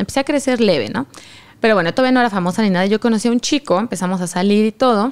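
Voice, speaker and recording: A woman's fairly high voice at a very fast pace, with lively intonation. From Mexico. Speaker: content creator. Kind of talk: casual chat. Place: studio. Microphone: studio mic.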